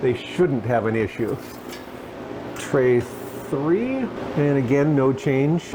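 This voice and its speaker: A man speaks very slowly at a fairly high pitch with ordinary pitch variation. Noticeable background noise sits behind him. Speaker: freeze drying video creator. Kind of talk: tutorial. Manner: loud.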